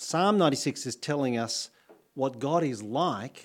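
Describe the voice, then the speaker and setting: On a very clean recording with a silent background, a man with an Australian accent uses lively intonation at a fairly high pitch. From Australia, New South Wales. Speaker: pastor. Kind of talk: sermon. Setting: church.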